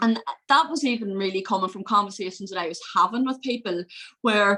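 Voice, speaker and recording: A woman with an Irish accent at a moderate pace and medium pitch, bright and sharp in tone. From Northern Ireland, County Fermanagh. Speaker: mental health consultant. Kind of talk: interview.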